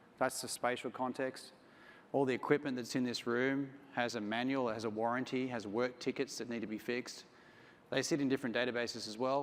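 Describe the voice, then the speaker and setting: In an Australian accent, a man speaks at a fairly quick pace and medium pitch, his intonation monotone and flat. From Australia, Sydney. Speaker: company CEO. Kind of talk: conference talk.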